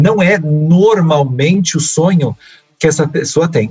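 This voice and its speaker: A man with a normal speaking voice, fairly high in pitch, with ordinary pitch variation. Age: 40s. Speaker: work researcher and speaker. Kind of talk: interview conversation.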